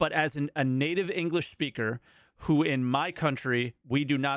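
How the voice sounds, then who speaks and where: This man has a General American accent and a fairly high pitch. His is a plain, everyday voice with ordinary pitch variation. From United States. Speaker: podcast co-host. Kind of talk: call-in show chat.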